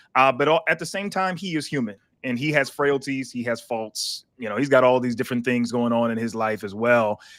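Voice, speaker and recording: A man with an American accent and an ordinary speaking voice talks at a fairly quick pace with hardly any pauses, his medium pitch varying in an ordinary way in a very clean recording with a silent background. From South Carolina. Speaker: pastor and licensed counselor. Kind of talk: interview. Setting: live stream.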